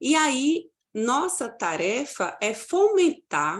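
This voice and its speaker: A woman with a slight Paraíba accent makes very wide pitch swings on a very clean recording with a silent background. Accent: northeastern Brazilian (Paraíba), slight. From Paraíba, Brazil (João Pessoa). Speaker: university lecturer. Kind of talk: conference presentation.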